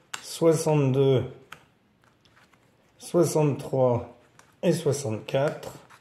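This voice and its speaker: A man with a fairly high pitch speaks at a very slow pace, leaving long, frequent pauses. His intonation is fairly even, and room echo is audible. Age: 60s. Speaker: board game presenter. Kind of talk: tutorial. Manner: casual explanatory.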